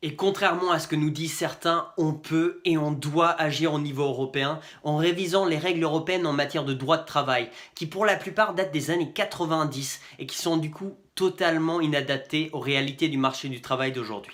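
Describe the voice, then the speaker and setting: Here is a man with an unremarkable speaking voice and a fairly high pitch. He talks at a moderate pace with ordinary pitch variation. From Finland. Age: 20s. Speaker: political candidate. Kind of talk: campaign video address.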